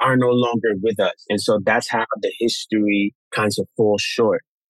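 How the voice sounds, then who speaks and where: The sound is dry and close, with no echo. A man speaks at a moderate pace with a Spanish accent. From Honduras. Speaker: tap dancer and dance educator. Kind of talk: interview conversation. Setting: video call.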